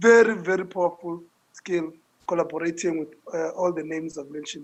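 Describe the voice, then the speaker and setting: This man speaks at a moderate pace. His intonation stays fairly even. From South Africa, Langa in Cape Town. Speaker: social entrepreneur. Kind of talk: interview. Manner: loud; repetitive stammering.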